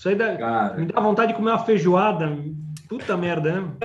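A man talks at a fairly quick pace in a high pitch with ordinary pitch variation. The recording has audible room echo and noticeable background noise. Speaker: toy collector. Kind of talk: casual chat.

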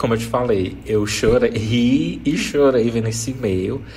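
Amid audible room echo and noticeable background noise, a man speaks with a fairly low pitch and fairly even intonation. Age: 30s. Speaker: podcast host. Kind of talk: casual chat.

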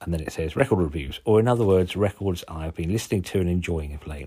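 A man talks with a Suffolk accent in a very deep, low pitch. His tone is dark and mellow. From Suffolk, England. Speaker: podcast host, zine maker. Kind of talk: casual solo zine review. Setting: lying on settee at home. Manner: informal, jokey, swears casually.

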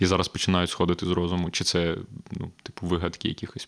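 This is a man speaking in a very clean recording with a silent background. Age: 20s. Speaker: podcast host and media co-founder. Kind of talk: casual chat. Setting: studio.

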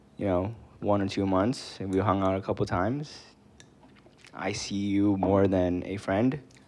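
With an American accent, a man speaks at a moderate pace and fairly low pitch, leaving long, frequent pauses. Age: 20s. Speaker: podcast co-host. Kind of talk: casual chat. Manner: animated.

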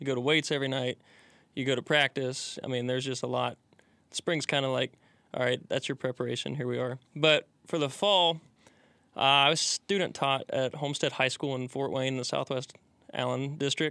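With a Midwestern American accent, a man at a medium pitch and a bright, sharp tone speaks at a moderate pace with fairly even intonation, in a dry, close sound with no echo on a very clean recording with a silent background. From Indiana. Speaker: college baseball pitcher. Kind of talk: casual interview.

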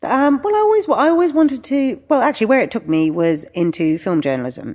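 A woman with a London accent, at a very fast pace. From England. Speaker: wine and travel writer. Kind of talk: interview. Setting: in person. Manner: halting.

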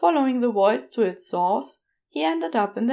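Lively intonation colors this unforced reading voice. Behind it, all is quiet.

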